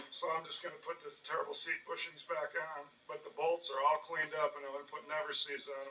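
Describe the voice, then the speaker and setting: A man talks very fast against noticeable background noise. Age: 60s. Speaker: DIY tractor restorer, channel owner. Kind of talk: casual workshop vlog narration. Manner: hesitant with frequent uh fillers.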